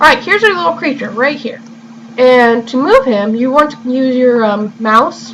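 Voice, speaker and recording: A woman with a fairly high voice and ordinary pitch variation talks at a moderate pace amid noticeable background noise. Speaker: gamer. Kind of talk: video game walkthrough commentary. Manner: may stutter or sound unusual; casual, relaxed.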